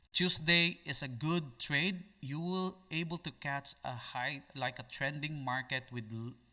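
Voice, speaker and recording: Speaking at a fairly slow pace, a man uses a fairly high pitch. His pitch varies in an ordinary way. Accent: Filipino. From Philippines. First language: Filipino. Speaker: day trader. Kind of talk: live trading stream. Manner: halting.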